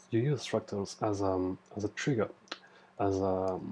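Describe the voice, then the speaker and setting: A man with a French accent speaks at a very slow pace, his tone dark and mellow and somewhat breathy. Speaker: trading tutorial creator. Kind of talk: tutorial. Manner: halting, many fillers. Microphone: poor recording quality.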